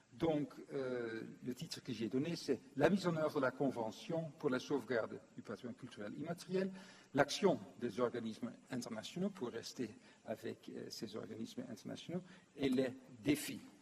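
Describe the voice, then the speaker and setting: With a non-native accent and vocal fry, a man speaks in a medium pitch. His intonation is lively and his pace moderate. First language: not French (speaking French). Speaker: former UNESCO official, lecturer. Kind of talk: conference lecture. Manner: hesitant, many fillers.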